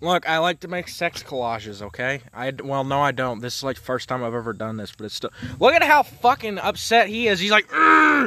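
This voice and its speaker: Amid noticeable background noise, a man with a fairly high pitch talks in an animated tone at a fairly quick pace with hardly any pauses. His pitch swings very widely and his loudness swings a lot. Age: young. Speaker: podcast host. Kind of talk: casual chat.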